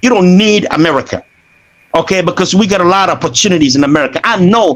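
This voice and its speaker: This man's voice is high in pitch and animated in tone. His pitch rises and falls an ordinary amount. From Ghana. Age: 60s. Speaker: caller. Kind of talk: casual chat.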